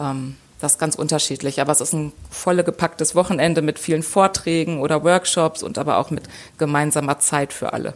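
With a very deep, low voice, a woman speaks at a fairly quick pace and fairly even intonation. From Lower Saxony, Germany. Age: 40s. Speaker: football fan representative. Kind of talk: interview. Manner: hesitant with filler sounds.

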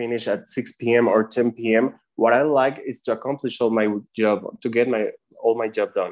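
Over a quiet background, a man with a Spanish accent speaks at a moderate pace and medium pitch, his intonation fairly even. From Mexico City. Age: 30s. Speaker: marketing and design freelancer. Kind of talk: interview. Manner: halting.

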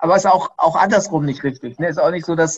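A man's high-pitched voice carries ordinary pitch variation. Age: 30s. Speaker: entrepreneur and company founder. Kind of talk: interview. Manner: hesitant with frequent fillers.

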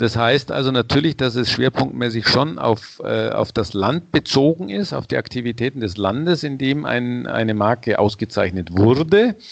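This man has a normal speaking voice at medium pitch, moving at a moderate pace. His intonation is lively, and he hardly pauses at all. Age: 60s. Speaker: head of a sustainability brand certification organization. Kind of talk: interview.

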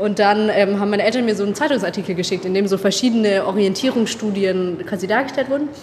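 Amid noticeable background noise, a woman talks very fast at a medium pitch with hardly any pauses and ordinary pitch variation. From Baden-Württemberg, Tübingen. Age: 20s. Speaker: university student. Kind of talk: interview.

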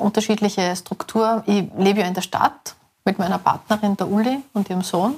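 A woman's voice at a medium pitch. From Austria, Salzburg city. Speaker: hunter and small food producer. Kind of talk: casual interview. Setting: outdoors walking in hunting ground.

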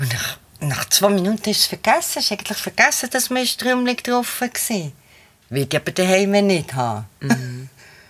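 A woman talks at a moderate pace in a medium pitch. Her pitch swings very widely. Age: 60s. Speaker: theatre co-founder and administrator. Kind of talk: interview. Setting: studio, sitting side by side.

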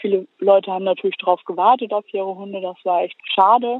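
Her intonation monotone and flat, a woman of medium pitch talks at a fairly quick pace. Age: 20s. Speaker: animal welfare volunteer. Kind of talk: casual interview. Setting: phone call, outdoors in the countryside.

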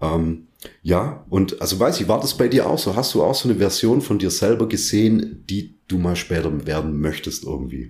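A man's very deep, low, somewhat breathy voice, with very wide pitch swings at a moderate pace. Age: 30s. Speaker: powerlifter and guest interviewer. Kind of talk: casual interview.

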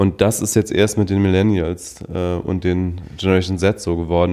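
In a very deep, low pitch, a man talks at a moderate pace with a dark, mellow tone and monotone, flat intonation. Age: 30s. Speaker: podcast co-host. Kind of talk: casual chat. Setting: living room at home.

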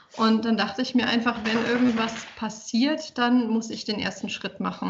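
There is noticeable background noise behind this woman's voice. She speaks at a moderate pace with a fairly high pitch. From Saarland, Germany. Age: 20s. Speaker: fitness trainer and communication researcher. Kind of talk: casual interview.

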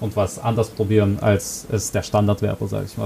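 At a fairly quick pace, a man is talking. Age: 20s. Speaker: conversion optimization consultant. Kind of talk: interview. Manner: hesitant with fillers.

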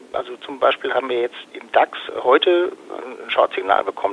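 A man speaking at a moderate pace, with noticeable background noise. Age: 40s. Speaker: fund advisor and trader. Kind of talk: interview.

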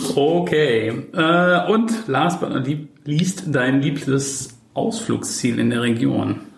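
A man at a fairly high pitch, very wide pitch swings and a very slow pace, with very even loudness, audible room echo and noticeable background noise. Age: 30s. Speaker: podcast host and social media agency owner. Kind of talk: casual interview. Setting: coworking space.

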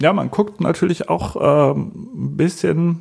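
A man at a very slow pace, on a very clean recording with a silent background. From Germany, Münster. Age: 30s. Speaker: psychotherapist. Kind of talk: interview monologue. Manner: hesitant with fillers.

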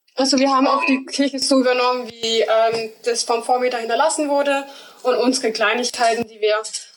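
A woman's fairly high voice at a moderate pace, fairly even in intonation, amid noticeable background noise. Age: 20s. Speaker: apprentice. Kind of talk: casual interview.

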